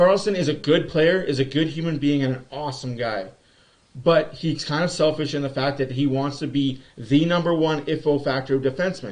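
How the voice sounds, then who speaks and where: This voice belongs to a man and sits fairly high. It carries a somewhat breathy quality. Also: ordinary pitch variation. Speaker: sports livestream host. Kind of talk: live game commentary and fan chat. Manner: animated; fast.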